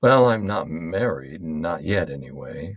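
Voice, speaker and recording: A man puts on a character voice, very deep, raspy and quiet. He speaks fairly slowly with lively intonation. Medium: read story. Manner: quiet, halting.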